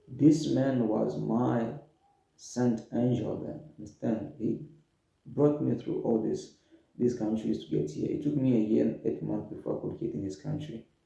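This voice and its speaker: Audible room echo around a man talking fairly slowly. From Democratic Republic of the Congo. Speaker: refugee storyteller. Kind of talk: personal testimony. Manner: halting, repeats words.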